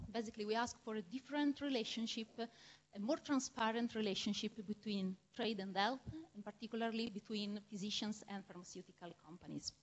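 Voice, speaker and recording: Somewhat breathy, a woman with a strong Italian accent speaks at a fairly high pitch with ordinary pitch variation. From Italy. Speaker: medical researcher and lecturer. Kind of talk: lecture. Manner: halting, with frequent fillers.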